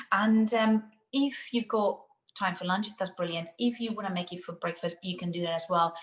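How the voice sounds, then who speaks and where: Speaking with a Spanish accent, a woman has a medium pitch, ordinary pitch variation, and a somewhat breathy quality. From Spain. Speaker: nutritional therapist. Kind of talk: cooking demonstration. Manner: fast.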